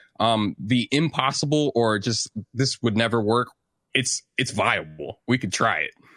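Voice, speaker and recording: A man's medium-pitched voice with an American accent, bright and sharp in tone with vocal fry, ordinary pitch variation, a fairly slow pace and a dry, close sound with no echo. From St. Louis, Missouri. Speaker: music producer and composer. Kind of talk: casual interview.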